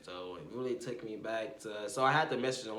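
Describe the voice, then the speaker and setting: The speech moves at a moderate pace. There is noticeable background noise and audible room echo. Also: man. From Arkansas. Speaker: vlogger and music artist. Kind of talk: casual monologue vlog.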